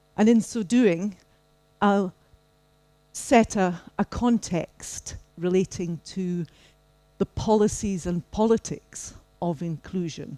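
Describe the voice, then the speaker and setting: A woman's fairly low, dark, mellow voice with a Scottish accent, very slow pace and ordinary pitch variation, in dry, close sound with no echo. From Scotland. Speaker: professor. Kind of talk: keynote lecture.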